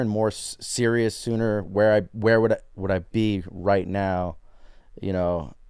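A man's normal speaking voice, fairly low in pitch with ordinary pitch variation, on a very clean recording with a silent background. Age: 40s. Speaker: street artist. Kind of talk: casual chat. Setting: hotel room.

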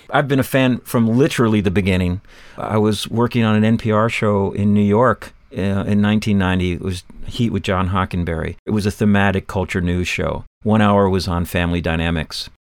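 At a fairly quick pace, a man with an unremarkable speaking voice talks in a fairly low pitch with fairly even intonation. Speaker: podcast host. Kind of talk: casual interview chat.

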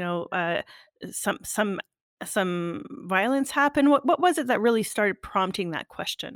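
On a very clean recording with a silent background and a dry, close sound with no echo, a woman with a Canadian accent speaks at a moderate pace with a medium pitch and lively intonation. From Canada. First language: French. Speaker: podcast host. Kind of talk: casual interview.

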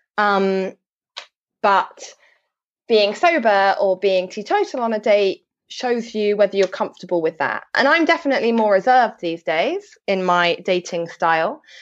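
With an English accent, a woman talks at a moderate pace, her medium-pitched voice full of lively intonation against a quiet background. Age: 20s. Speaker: sobriety and well-being blogger. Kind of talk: interview.

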